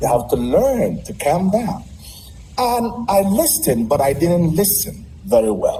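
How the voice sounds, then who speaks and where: Noticeable background noise and audible room echo around a man speaking fairly slowly. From Nigeria. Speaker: Nigerian community member, ministry worker. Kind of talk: casual interview.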